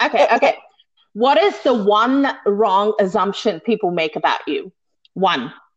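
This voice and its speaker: With a New Zealand accent, a woman with a fairly high pitch talks at a moderate pace and makes very wide pitch swings. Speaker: podcast co-host. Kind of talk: casual chat.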